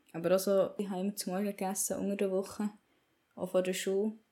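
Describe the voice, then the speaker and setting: A woman speaks at a very fast pace in a Swiss accent. Her tone is dark and mellow. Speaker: podcaster. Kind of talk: personal monologue. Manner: casual, rambling.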